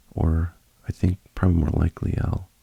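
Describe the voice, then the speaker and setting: A man speaks softly in a very deep, low voice with a calm, relaxed tone. His fairly slow delivery has fairly even intonation and a dry, close sound with no echo. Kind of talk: ASMR reading of a Reddit post with commentary. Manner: soft-spoken, calm, relaxed.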